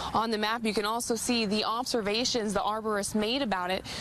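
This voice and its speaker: Amid noticeable background noise, a woman with an American accent speaks at a fairly quick pace. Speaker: multimedia journalist / TV reporter. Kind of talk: TV news reporter reel, on-air reporting and live shots. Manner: clear, polished broadcast delivery.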